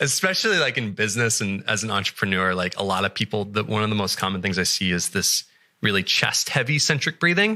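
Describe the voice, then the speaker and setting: On a very clean recording with a silent background, a man with an American accent speaks very fast in a bright, sharp tone, his pitch fairly low with ordinary variation. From United States. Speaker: breathwork facilitator. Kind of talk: podcast interview.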